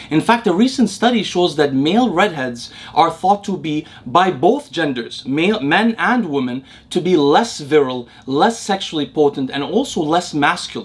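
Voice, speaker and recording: A man at a moderate pace, with very wide pitch swings. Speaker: science explainer host. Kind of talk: educational commentary. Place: home room.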